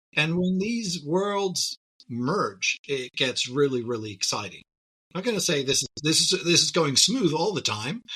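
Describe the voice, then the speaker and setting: Swinging very widely in pitch, a man speaks at a moderate pace in a bright, sharp tone. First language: not English. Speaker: tech company CEO. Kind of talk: podcast interview.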